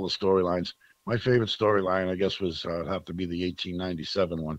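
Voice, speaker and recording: Against a quiet background, a man with a very deep, low voice talks at a fairly quick pace in a dry sound with no echo. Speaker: podcast guest. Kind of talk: interview answer. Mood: relaxed, nostalgic. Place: home room. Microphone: video call.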